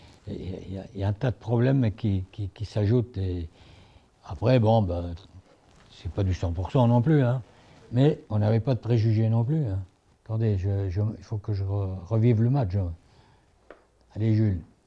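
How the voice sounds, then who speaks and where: A man speaks at a fairly low pitch in a dark, mellow, somewhat breathy tone with ordinary pitch variation. His pace is fairly slow, with long, frequent pauses. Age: 80s+. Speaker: former football club president. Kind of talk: interview answer.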